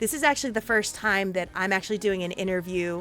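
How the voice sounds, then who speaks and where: Music plays in the background as a woman speaks very fast in a medium-pitched voice with ordinary pitch variation. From Puerto Rico. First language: Spanish. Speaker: interview show host. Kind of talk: casual interview. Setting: live stream. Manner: animated.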